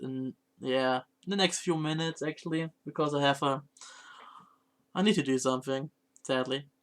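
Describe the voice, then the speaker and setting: A man speaks at a fairly high pitch. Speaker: variety streamer. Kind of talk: casual live-stream chat. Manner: halting, self-correcting.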